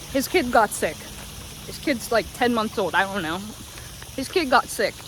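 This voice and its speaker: Over noticeable background noise, a woman with a fairly high pitch talks in an animated tone with lively intonation. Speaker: vlogger. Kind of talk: casual vlog monologue. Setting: outdoors on a walk.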